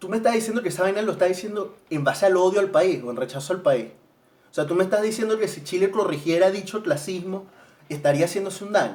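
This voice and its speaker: Talking at a very fast pace with a Venezuelan accent, a man uses a high pitch, ordinary pitch variation and an animated tone. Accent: Venezuelan accent slipping out. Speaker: vlogger, student. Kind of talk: casual monologue. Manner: halting, repeats words.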